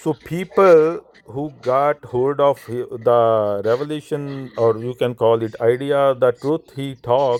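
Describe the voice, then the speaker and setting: Speaking at a very slow pace, a man with a non-native accent keeps a medium pitch and ordinary pitch variation. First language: not English. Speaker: Sikh speaker in interfaith discussion. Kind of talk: interfaith discussion. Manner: halting.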